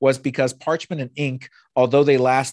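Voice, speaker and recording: A man's plain, everyday voice at medium pitch, moderate pace, with a dry, close sound, no echo and a quiet background. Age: 40s. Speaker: podcast host, rabbi. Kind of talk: casual interview chat.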